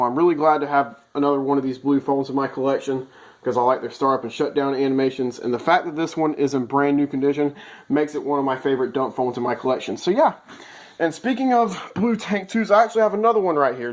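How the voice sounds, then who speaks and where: Talking at a very fast pace, this man has a fairly high pitch. His intonation is lively. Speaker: phone collector. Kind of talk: casual talk to camera.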